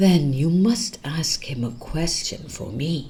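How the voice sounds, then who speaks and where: This put-on character voice sits at a middle pitch. It moves at a fairly slow pace. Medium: read story. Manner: sorrowful.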